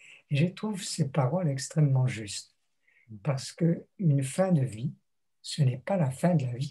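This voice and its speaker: A man with a dark, mellow tone and fairly high pitch talks fairly slowly. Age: 80s+. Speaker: theologian and retired lecturer. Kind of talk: interview. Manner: reflective, with hesitations.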